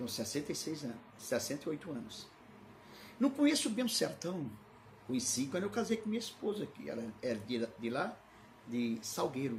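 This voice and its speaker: A man with a fairly high voice speaks with very wide pitch swings and long, frequent pauses. Room echo is audible in the recording. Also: moderate pace. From Brazil, Recife (Pernambuco), then São Paulo from 16. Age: 60s. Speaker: pastor. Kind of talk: sermon with personal digressions, livestream. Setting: livestream. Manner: halting, repetitive.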